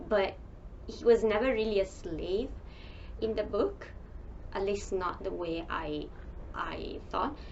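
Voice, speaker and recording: Long, frequent pauses mark a woman's very slow speech, heard over noticeable background noise. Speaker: book reviewer. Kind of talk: casual talk to camera.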